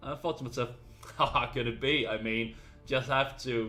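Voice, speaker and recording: With music in the background, a man speaks at a medium pitch. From Denmark. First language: Danish. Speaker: gaming YouTuber. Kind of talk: casual vlog talk to camera. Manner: some hesitations and fillers.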